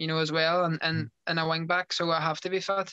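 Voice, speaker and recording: In a Derry accent, a man speaks at a high pitch with a bright, sharp tone and monotone, flat intonation, the sound dry with no echo and the background quiet. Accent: Northern Irish (Derry). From Northern Ireland, Derry. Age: 20s. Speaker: professional footballer. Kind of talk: interview. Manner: halting. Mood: relaxed, sincere. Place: home room. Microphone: video call.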